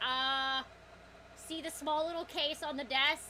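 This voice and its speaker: Someone speaks in a put-on character voice, fairly slow and monotone, over clear background noise. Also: woman, high pitch for a woman. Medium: actual play.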